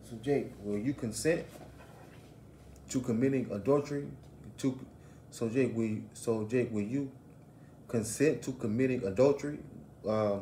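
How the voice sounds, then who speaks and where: Through audible room echo, a man with a medium pitch and a dark, mellow tone speaks somewhat breathily at a moderate pace, with ordinary pitch variation and long, frequent pauses. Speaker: religious teacher. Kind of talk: bible lesson.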